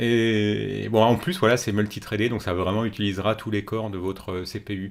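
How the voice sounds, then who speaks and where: This man speaks in a fairly low pitch with fairly even intonation. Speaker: programming educator, tech news presenter. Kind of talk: tech news commentary with screen walkthrough. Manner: fast; many hesitations and fillers.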